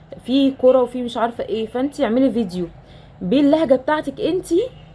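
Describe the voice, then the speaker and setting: A woman with an Egyptian accent talks at a moderate pace in a high voice with lively intonation. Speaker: nurse and mother. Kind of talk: casual talk to camera.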